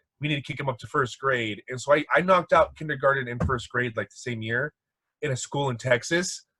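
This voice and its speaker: A man speaks at a fairly quick pace with a slight Mexican accent, his medium pitch showing ordinary variation. His tone is bright and sharp, the loudness swings widely, and the sound is dry and close with no echo. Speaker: podcast guest. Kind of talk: casual chat. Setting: video call.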